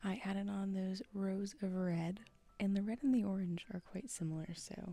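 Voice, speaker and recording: Soft-spoken, this voice proceeds at a moderate speed. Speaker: crochet vlogger. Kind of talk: casual vlog narration. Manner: soft-spoken, speaking quietly.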